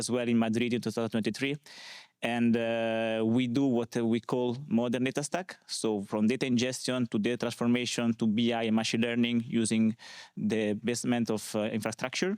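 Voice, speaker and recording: A man with an Italian accent talks at a fairly quick pace with very even loudness, in a very clean recording with a silent background and a dry, close sound with no echo. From Italy, small village. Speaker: conference speaker, data consultant. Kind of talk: conference talk. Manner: hesitant, many fillers.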